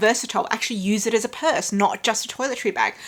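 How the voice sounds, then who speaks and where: A woman talks at a very fast pace in an Australian accent. There is noticeable background noise. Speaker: handbag vlogger. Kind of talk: tutorial.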